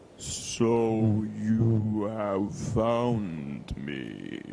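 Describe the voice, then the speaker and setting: Over clear background noise, a man drawls in a put-on character voice at a fairly low pitch. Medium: read story. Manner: slow drawl.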